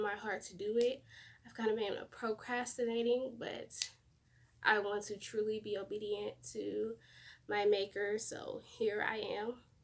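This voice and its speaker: A quiet woman speaks at a moderate pace with a fairly high pitch and flat, monotone intonation. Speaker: YouTuber. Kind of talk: testimony. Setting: home at night. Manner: quiet, hushed.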